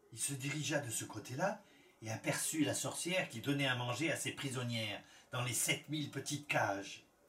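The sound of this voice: The reading voice is unforced. Pitch variation stays ordinary.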